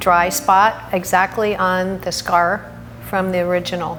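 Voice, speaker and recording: Through noticeable background noise and audible room echo, a woman speaks at a medium pitch. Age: 60s. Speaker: cancer patient. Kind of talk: testimony.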